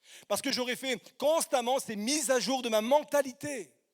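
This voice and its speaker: On a very clean recording with a silent background, a man speaks fairly slowly at an extremely high pitch with ordinary pitch variation. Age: 50s. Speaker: guest preacher. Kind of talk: sermon. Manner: halting.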